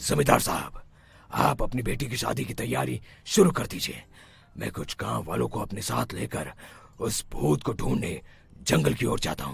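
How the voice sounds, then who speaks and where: This is a cartoonish character voice with very wide pitch swings. It moves at a moderate pace. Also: man, very deep, low pitch for a man. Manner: authoritative.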